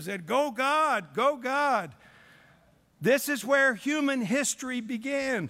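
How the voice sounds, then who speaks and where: A man speaks in a raised, projected voice with a bright, sharp yet warm tone, on a very clean recording with a silent background. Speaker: preacher. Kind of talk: sermon. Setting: church revival service. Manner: warm, folksy storyteller opening with jokes; earnest, didactic and pleading, building to prayer.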